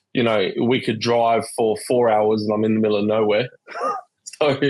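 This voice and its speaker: A man speaks with an Australian accent at a moderate pace. His fairly low voice stays monotone and flat. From Western Australia, Perth. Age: 30s. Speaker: pinball collector. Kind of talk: casual chat.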